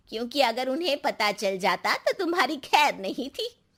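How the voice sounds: A woman uses a put-on character voice, high in pitch and fairly bright, with big pitch swings at a moderate pace. The recording is very clean, the background silent.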